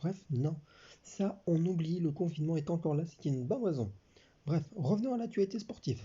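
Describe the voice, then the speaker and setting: Somewhat breathy man at a fairly quick pace. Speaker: sports commentator YouTuber. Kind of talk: casual talk to camera.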